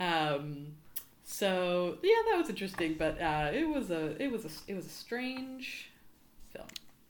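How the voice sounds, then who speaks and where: With very wide pitch swings, a woman talks at a fairly slow pace over noticeable background noise and audible room echo. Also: medium pitch for a woman. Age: 30s. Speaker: podcast guest. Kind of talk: casual chat.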